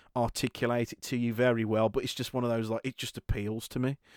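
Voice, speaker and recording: This is a man with a British accent. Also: dry, close sound with no echo. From Britain. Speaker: podcast host. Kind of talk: casual chat. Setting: remote call.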